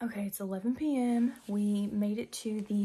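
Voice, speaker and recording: A woman speaks in a dark, mellow tone that is somewhat breathy. Her intonation stays fairly even. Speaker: travel vlogger. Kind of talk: casual vlog chat. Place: home room. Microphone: phone near.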